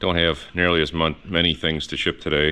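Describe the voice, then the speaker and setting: A man talks at a fairly quick pace in a very deep, low voice, with noticeable background noise. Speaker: car restoration youtuber. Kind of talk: workshop video log.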